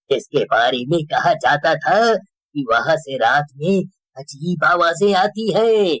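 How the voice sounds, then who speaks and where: A man's cartoonish character voice, high-pitched with lively intonation, at a fairly slow pace. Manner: slow, ominous storytelling.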